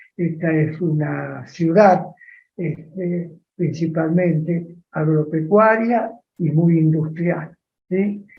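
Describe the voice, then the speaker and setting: In a room with audible echo, a man with a high pitch speaks at a very slow pace and with fairly even intonation. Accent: Rioplatense. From Argentina, Las Parejas (Santa Fe). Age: 80s+. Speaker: interviewee, elderly industrialist. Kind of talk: interview.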